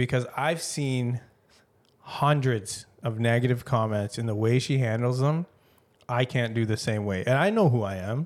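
A man with a Canadian accent and an ordinary speaking voice talks at a moderate pace and medium pitch, with ordinary pitch variation. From Canada. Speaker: podcast co-host. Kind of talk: casual chat.

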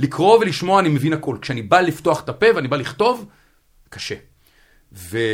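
At a moderate pace, a man with a fairly high pitch and vocal fry speaks with very wide pitch swings. He leaves long, frequent pauses. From central Israel. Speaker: Haredi DevOps engineer. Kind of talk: casual interview. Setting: studio.

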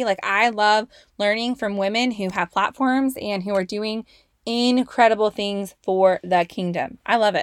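A woman with an American accent speaks at a moderate pace with medium pitch and ordinary pitch variation. The recording is very clean with a silent background, the sound dry and close with no echo. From California, Bay Area. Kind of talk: casual faith talk to listeners.

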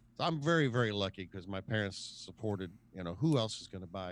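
A man with a plain, everyday voice speaks at a fairly low pitch with lively intonation. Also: quiet background. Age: 50s. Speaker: musician. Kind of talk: casual chat.

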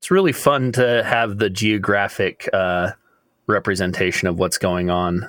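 At a fairly slow pace, a man with an unremarkable speaking voice talks at a fairly low pitch with ordinary pitch variation, on a very clean recording with a silent background. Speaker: panel member. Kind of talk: casual panel discussion.

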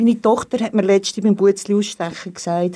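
The recording is very clean, with a silent background. A woman speaks at a moderate pace and medium pitch, somewhat breathy, with a dark, mellow tone. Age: 60s. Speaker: teacher. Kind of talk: interview.

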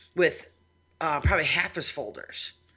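Music can be heard in the background. Over it, a woman talks. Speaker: podcast host and IT consultant. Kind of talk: casual chat. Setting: studio.

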